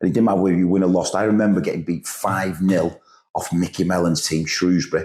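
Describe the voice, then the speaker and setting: Very fast, monotone and flat, a man with a northern English accent, very deep and low in pitch, his loudness very even. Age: 50s. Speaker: football manager. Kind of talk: casual chat.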